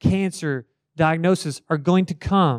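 A man speaks in an animated tone with ordinary pitch variation, the sound dry and close with no echo. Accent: Kentucky. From central Kentucky, Marion County. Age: 30s. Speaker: college ministry staff speaker. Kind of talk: sermon-style talk to students. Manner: animated, conversational.

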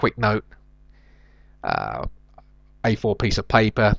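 Speaking at a very slow pace, a man uses a fairly low voice with vocal fry. The sound is dry and close, with no echo. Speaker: comedian and podcaster. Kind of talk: solo comedic monologue podcast. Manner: hesitant, filler-heavy.

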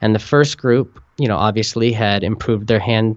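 Here is a man with an ordinary speaking voice. His pitch sits in the medium range and his pace is moderate. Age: 30s. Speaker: author with type 1 diabetes, meditation teacher. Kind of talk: podcast interview. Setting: phone call.

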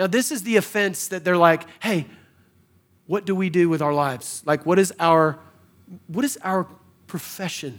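An American accent from a man, high in pitch, with very wide pitch swings. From New York City (Bronx, Queens). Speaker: pastor. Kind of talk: sermon. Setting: church with congregation. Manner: animated.

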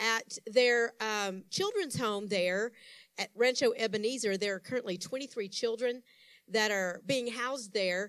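A woman with a fairly high voice and an unremarkable speaking voice talks at a fairly slow pace with ordinary pitch variation. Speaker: church announcer. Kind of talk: announcements.

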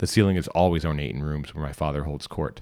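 At a very fast pace, a man delivers his lines in a dramatic tone. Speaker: podcast reader and narrator. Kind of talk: literary audiobook reading, scripted fiction narration. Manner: measured, formal, dramatic storyteller's cadence.

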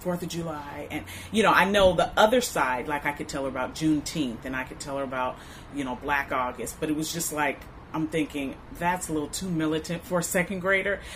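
The speaker is a woman with an American accent and a very deep, low pitch. She talks at a fairly quick pace. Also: ordinary pitch variation. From US West Coast, Inglewood, Los Angeles area. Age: 40s. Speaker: mother sharing family history. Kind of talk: oral history interview. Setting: recording at an arts space. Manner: hesitant, many fillers.

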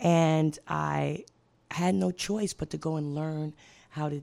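A woman's very deep, low, dark and mellow voice at a very slow pace, on a very clean recording with a silent background. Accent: American. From Brooklyn, New York. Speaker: social worker and HIV advocate. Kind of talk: radio interview. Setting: radio studio.

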